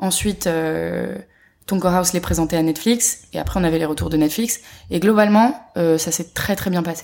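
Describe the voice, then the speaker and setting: A woman with a normal speaking voice talks at a moderate pace, fairly low in pitch with ordinary pitch variation. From Paris, France. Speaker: animation production manager. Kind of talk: interview. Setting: at a film festival.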